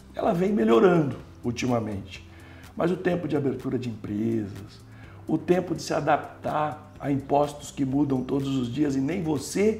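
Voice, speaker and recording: Music sits in the background, and audible room echo surrounds the voice. A man talks at a moderate pace. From Brazil, interior of São Paulo state. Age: 60s. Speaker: entrepreneur and former city official. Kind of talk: interview conversation.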